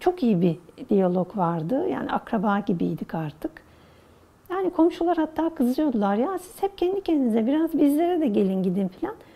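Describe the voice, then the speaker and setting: Noticeable background noise accompanies a woman's high-pitched voice. She speaks at a moderate pace with very wide pitch swings. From Istanbul, Turkey. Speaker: oral history interviewee. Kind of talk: interview answer, reminiscing.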